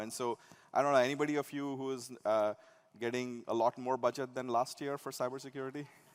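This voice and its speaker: A man speaks very fast at a medium pitch, his intonation flat and monotone, in a dry, close sound with no echo. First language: not English. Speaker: tech company executive. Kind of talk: conference keynote. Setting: stage with audience. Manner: conversational, with many fillers and restarts.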